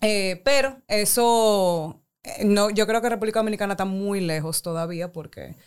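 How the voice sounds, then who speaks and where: On a very clean recording with a silent background, a woman with a plain, everyday voice speaks at a fairly slow pace, medium pitch and ordinary pitch variation. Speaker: guest with background in international development and politics. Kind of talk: casual chat.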